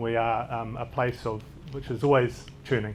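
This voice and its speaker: The speaker has a New Zealand accent and fairly even intonation. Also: man. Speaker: doctor. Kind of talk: conference talk. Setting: stage with audience. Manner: fast; occasionally mumbling.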